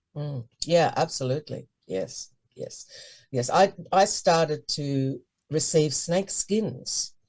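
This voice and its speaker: Very slowly and somewhat breathily, a woman speaks at a very deep, low pitch, her intonation lively and her loudness swinging widely. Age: 70s. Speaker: high priestess. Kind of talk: interview.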